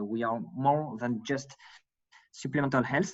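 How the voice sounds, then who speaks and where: A man speaks with a French accent. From France. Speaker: digital strategy staff at health insurer. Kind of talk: presentation. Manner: halting.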